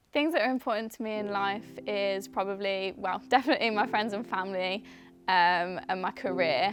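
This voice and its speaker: This is an unremarkable speaking voice at a moderate pace. The recording is very clean, with a silent background. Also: woman. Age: 20s. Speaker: dancer and dance teacher. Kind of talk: interview testimony.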